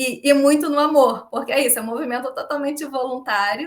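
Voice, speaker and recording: A woman talks at a fairly quick pace. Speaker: volunteer organizer of a regenerative economics movement. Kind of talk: podcast interview. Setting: live-streamed video call. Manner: fast; animated.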